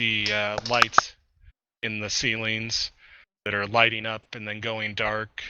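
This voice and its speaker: A man uses a put-on character voice at a medium pitch. It sounds raspy, with a monotone, flat intonation. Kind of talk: tabletop GM scene narration. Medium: actual play. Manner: casual, halting, filler-heavy.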